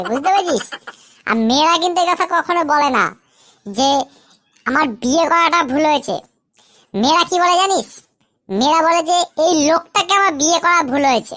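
A squeaky, cartoonish character voice from a woman, extremely high in pitch, with lively intonation at a moderate pace. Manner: chatty, playful, joking.

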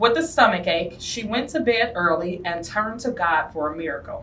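A woman speaks fairly slowly while light background noise is present. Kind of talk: storybook read-aloud. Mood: gentle, warm storytelling. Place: classroom. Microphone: camera far.

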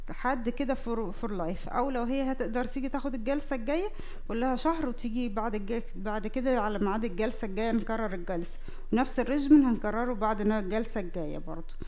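The pitch varies in an ordinary way at a moderate pace. There are hardly any pauses. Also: woman. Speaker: dermatology professor demonstrating. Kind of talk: lecture. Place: hall. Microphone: headset.

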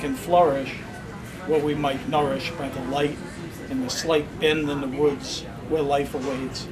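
Over music in the background, a man talks at a fairly slow pace with a fairly high pitch and fairly even intonation. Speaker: poetry reader. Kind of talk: poem reading, performed. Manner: measured, expressive, lyrical cadence. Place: shop. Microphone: camera far.

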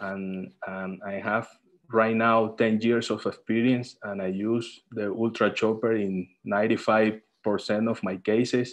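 This man speaks very slowly with a Spanish accent. His fairly low voice stays monotone and flat. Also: quiet background. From Colombia. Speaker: eye surgeon. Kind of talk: online panel discussion. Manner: halting. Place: home room. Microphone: video call.

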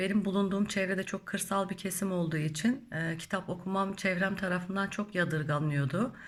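A woman at medium pitch, somewhat breathy, talks at a moderate pace with fairly even intonation and hardly any pauses. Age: 40s. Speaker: spiritual YouTuber. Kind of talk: Q&A monologue. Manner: halting, many filler sounds.

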